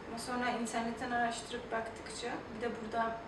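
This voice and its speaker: A woman at a moderate pace over loud background noise. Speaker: liver donor. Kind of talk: interview answer. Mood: calm, encouraging.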